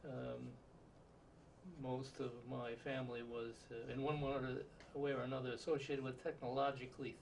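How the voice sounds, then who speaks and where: Audible room echo surrounds a man speaking in a flat monotone at medium pitch and a moderate pace, with long, frequent pauses. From Southern California. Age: 70s. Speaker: interviewee, retired physicist. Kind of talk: oral history interview. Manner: halting, many filler words.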